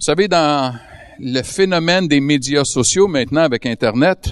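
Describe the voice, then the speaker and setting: With a Quebec accent, the speaker talks at a fairly slow pace with ordinary pitch variation. The sound is dry and close with no echo, over a quiet background. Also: man. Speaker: guest preacher. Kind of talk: sermon. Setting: church service with audience.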